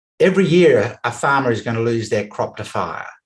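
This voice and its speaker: On a very clean recording with a silent background, a somewhat breathy man speaks with an Australian accent. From Western Australia, rural. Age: 60s. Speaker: business coach. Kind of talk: interview.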